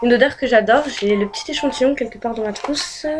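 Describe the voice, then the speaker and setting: Against noticeable background noise, a woman talks at a moderate pace. Her pitch is fairly high and her intonation fairly even. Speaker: beauty and lifestyle youtuber. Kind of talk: casual vlog talk. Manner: hesitant, many fillers.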